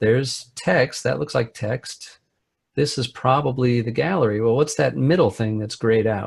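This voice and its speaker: The voice shows vocal fry at a moderate pace. Its pitch varies in an ordinary way. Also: man, medium pitch for a man. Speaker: web developer, trainer. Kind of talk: tutorial.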